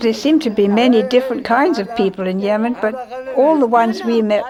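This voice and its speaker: Against noticeable background noise, a woman with a fairly high pitch speaks at a fairly quick pace, her pitch varying in an ordinary way. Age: 80s+. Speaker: travel documentary narrator. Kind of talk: documentary narration.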